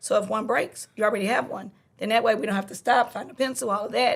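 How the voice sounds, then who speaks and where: Speaking at a very fast pace, a woman uses a fairly high pitch with ordinary pitch variation. She has a Louisiana accent and sounds somewhat breathy. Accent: Southern US, Louisiana. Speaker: middle school teacher. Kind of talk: podcast conversation. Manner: speeds up when excited.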